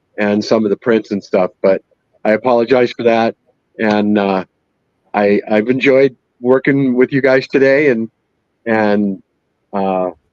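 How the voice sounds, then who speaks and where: Long, frequent pauses break up a man's fairly slow speech. His pitch is medium, and the sound is dry and close with no echo. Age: 60s. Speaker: 3D printer user. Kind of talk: live stream interview. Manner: hesitant, many fillers.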